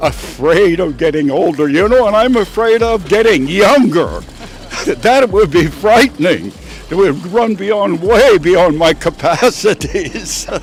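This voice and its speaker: Noticeable background noise sits behind a man with an American accent and a high voice. He talks at a fairly slow pace with very even loudness. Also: lively intonation. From Syracuse, New York. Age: 80s+. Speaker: interviewee. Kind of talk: street interview.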